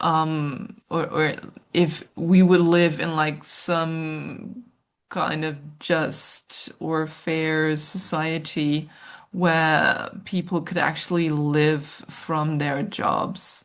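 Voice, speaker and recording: A woman's very deep, low voice at a very slow pace, with fairly even intonation, against a quiet background. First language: German. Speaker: social worker and researcher. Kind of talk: interview conversation. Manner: hesitant, many fillers.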